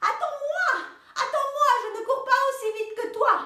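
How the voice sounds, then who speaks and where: The voice is a put-on character voice, squeaky and delivered at a moderate pace. A slight echo can be heard. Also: woman, extremely high pitch for a woman. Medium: read story. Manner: gentle, insistent.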